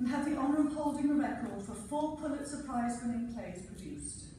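Over noticeable background noise, a high-pitched woman talks at a fairly quick pace with big swings in loudness and ordinary pitch variation. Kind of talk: event introduction speech. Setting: auditorium.

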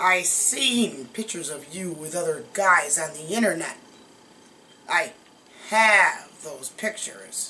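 A woman puts on a raspy character voice at medium pitch. She speaks at a fairly slow pace over light background noise. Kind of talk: advice vlog talk. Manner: smug.

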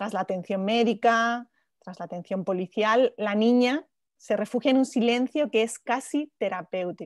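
The sound is dry and close, with no echo. The pace is fairly slow, and the pitch varies in an ordinary way. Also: woman, fairly high pitch for a woman. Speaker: journalist moderator. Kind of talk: interview. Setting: video call. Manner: halting.

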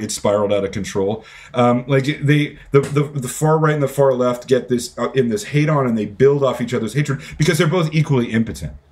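This man's voice is somewhat breathy, and his pitch varies in an ordinary way. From Canada. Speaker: author; podcast guest. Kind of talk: interview. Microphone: earbuds.

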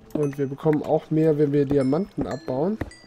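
Over background music, a man talks at a fairly slow pace with fairly even intonation. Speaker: let's player. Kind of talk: casual let's play commentary.

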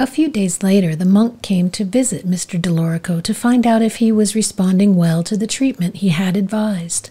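A woman's somewhat breathy, dark, mellow voice at medium pitch, with ordinary pitch variation and hardly any pauses. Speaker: life coach. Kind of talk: soothing storytelling narration of a parable, read aloud. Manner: calm, slow and gentle, relaxation-paced; even, measured storyteller delivery, voicing characters' lines lightly.

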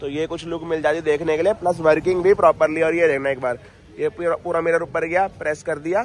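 A man speaks in a high pitch, with a dry sound with no echo and light background noise. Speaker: car accessories vlogger. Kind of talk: casual product walkthrough commentary. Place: street. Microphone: phone near.

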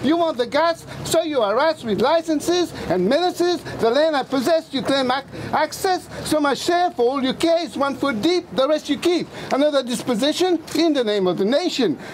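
Over light background noise, a man with an extremely high voice talks at a moderate pace, his intonation lively and his loudness very even. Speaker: protest poet. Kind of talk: spoken word performance. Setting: outdoors. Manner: passionate. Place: street.

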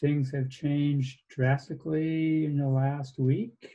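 Man with a dark, mellow tone, somewhat breathy, in a monotone, flat intonation at a very slow pace, against a quiet background. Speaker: lecturer. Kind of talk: lecture. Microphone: video call.

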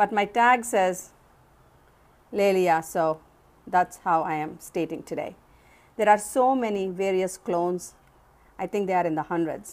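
A woman speaks at a fairly slow pace, taking long, frequent pauses. Her pitch varies in an ordinary way. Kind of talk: casual show-and-tell narration. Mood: calm, admiring. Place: home room. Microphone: phone near.

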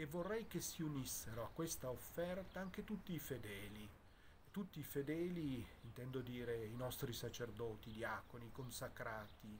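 Over light background noise, a man speaks at a moderate pace with a medium pitch and lively intonation. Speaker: bishop. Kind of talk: pastoral address to the faithful. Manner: calm, reassuring. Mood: calm, comforting. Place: garden.

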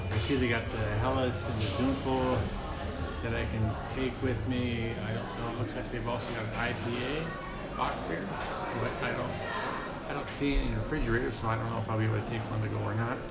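Over loud music in the background, a man talks at a fairly quick pace with ordinary pitch variation. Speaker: beer vlogger. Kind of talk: casual vlog chat. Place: bar. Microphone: phone near.

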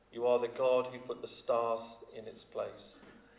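With audible room echo, a man speaks at a moderate pace in fairly even intonation. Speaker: minister leading worship. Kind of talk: prayer. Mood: calm, reverent. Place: church. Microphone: podium.

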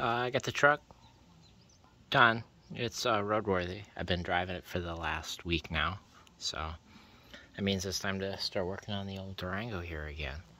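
A man with a very deep, low pitch and a bright, sharp tone speaks at a moderate pace, with long, frequent pauses and a dry sound with no echo. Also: ordinary pitch variation. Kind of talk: casual vlog chat. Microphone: phone near.

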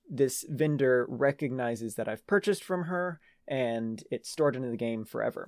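Male speech at a moderate pace with lively intonation, dry sound with no echo, quiet background. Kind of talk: devlog commentary. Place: home room.

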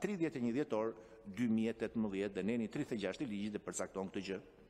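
The man's intonation is lively throughout. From Albania. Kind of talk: parliamentary speech. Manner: formal. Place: meeting room. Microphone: podium.

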